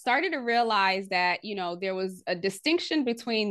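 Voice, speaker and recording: This woman has an unremarkable speaking voice, medium in pitch, with lively intonation. She keeps a moderate pace against a quiet background. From US, immigrant from Haiti at age three. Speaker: leadership strategist and author. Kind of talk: podcast interview.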